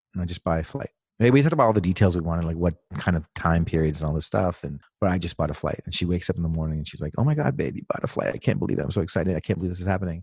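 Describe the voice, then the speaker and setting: A man speaks at a very fast pace in a very deep, low pitch with ordinary pitch variation. The sound is dry and close, with no echo. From India. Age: 40s.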